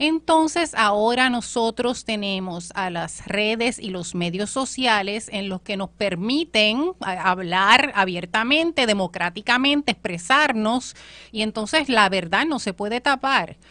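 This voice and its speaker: A woman's fairly high voice, lively in intonation, at a fairly slow pace with hardly any pauses. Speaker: political commentator. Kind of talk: political panel discussion.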